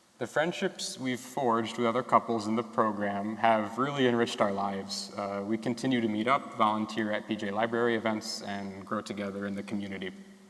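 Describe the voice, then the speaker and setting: A man with an American accent speaks at a fairly quick pace with hardly any pauses, his fairly low voice keeping fairly even intonation over noticeable background noise. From Rochester, New York. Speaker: medical student. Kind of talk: prepared speech reading.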